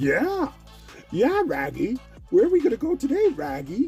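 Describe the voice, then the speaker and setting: In a put-on character voice pitched high, the speaker talks over faint background music. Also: moderate pace. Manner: goofy, eager.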